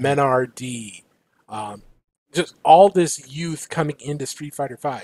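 With an American accent, a man talks at a very slow pace, leaving long, frequent pauses as his loudness swings widely. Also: ordinary pitch variation, dry sound with no echo. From US Midwest. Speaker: podcast co-host. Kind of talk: casual chat. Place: home room.

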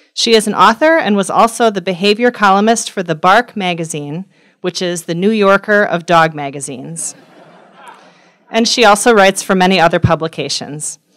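A woman talks at a moderate pace with a quiet background behind her. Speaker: speaker. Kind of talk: formal introduction. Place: hall. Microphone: podium.

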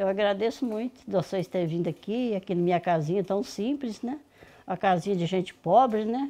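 With a rural Minas Gerais accent, a woman speaks at a moderate pace in a dark, mellow tone with ordinary pitch variation. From Minas Gerais, rural. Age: 60s. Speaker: farm matriarch; host's interviewee at her home. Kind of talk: casual interview. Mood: warm, reflective, grateful. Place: kitchen. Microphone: phone near.

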